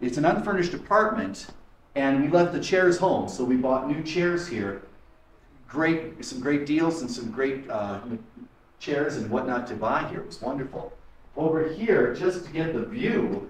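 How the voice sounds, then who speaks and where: A man speaks at a moderate pace. Audible room echo and light background noise come through. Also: lively intonation. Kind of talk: casual tour guide talk. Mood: enthusiastic. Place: home room. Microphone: camera far.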